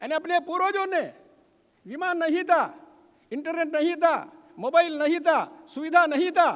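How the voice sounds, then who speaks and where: A man talks in an extremely high pitch with fairly even intonation. Long, frequent pauses break up his speech. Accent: Telangana. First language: Telugu (speaking Hindi). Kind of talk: ceremonial speech.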